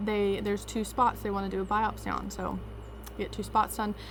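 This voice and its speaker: The speaker is a woman. Her speech carries a Southern US accent. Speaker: vlogger. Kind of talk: casual vlog storytelling.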